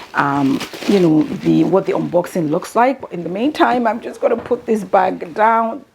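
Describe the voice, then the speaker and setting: Against noticeable background noise, a woman at a medium pitch speaks at a fairly slow pace with lively intonation. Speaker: beauty and luxury vlogger. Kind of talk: unboxing haul video. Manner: halting, stuttering.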